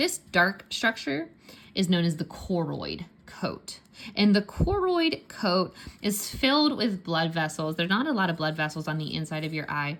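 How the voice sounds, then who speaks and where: A woman speaks in a Pittsburgh accent at a moderate pace. Her pitch is fairly low, with ordinary variation. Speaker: science teacher. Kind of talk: tutorial. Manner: casual, conversational.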